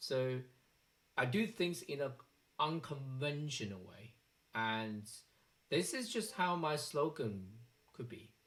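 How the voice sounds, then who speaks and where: A man speaks with a Chinese accent at a fairly slow pace. His pitch varies in an ordinary way. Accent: Chinese accent, noticeable. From China. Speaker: software developer vlogger. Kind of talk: personal vlog monologue. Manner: hesitant, with fillers.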